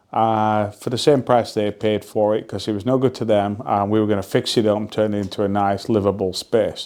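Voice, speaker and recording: Speaking in a Lancashire accent, a man talks at a fairly quick pace and fairly low pitch with fairly even intonation and hardly any pauses. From northern England, Burnley (Lancashire). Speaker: real estate investor. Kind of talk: casual vlog storytelling. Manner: relaxed with filler words.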